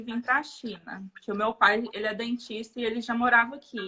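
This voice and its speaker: Speaking at a moderate pace in a Minas Gerais accent, a woman with a fairly high voice has a bright, sharp tone. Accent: Uberlândia (Minas Gerais). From Portugal and Uberlândia, Minas Gerais, Brazil. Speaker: dentist. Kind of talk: interview.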